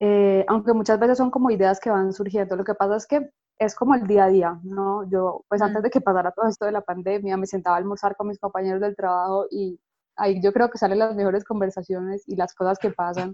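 A woman with an ordinary speaking voice talks at a fairly quick pace, her medium pitch held in fairly even intonation. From Colombia. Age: 30s. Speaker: graphic designer and illustrator. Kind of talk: interview.

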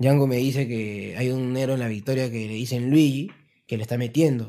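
At a fairly quick pace, a man speaks in a medium pitch. His tone is dark and mellow. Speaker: rapper. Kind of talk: casual interview.

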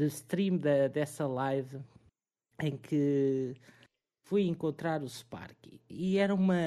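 A man with a European Portuguese accent speaks with a dark, mellow tone. His pitch is fairly high, with ordinary variation. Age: 20s. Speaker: streamer and restaurant worker. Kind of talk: casual chat.

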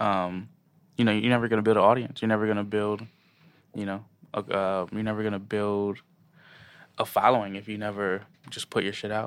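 In a very clean recording with a silent background, a man with an American accent talks at a fairly quick pace in a fairly low, monotone, flat voice, leaving long, frequent pauses. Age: 20s. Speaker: DJ and creative. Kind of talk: interview. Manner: halting, many fillers.

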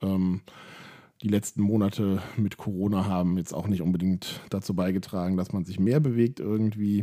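Over a silent background in a very clean recording, a man talks at a moderate pace with a fairly low pitch and fairly even intonation. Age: 30s. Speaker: podcaster documenting weight loss. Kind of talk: personal monologue. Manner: hesitant, many filler sounds.

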